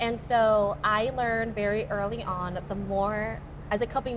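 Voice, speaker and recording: A woman speaks with a Thai accent. Audible room echo can be heard. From Alaska, Anchorage. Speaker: pageant contestant. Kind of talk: casual chat.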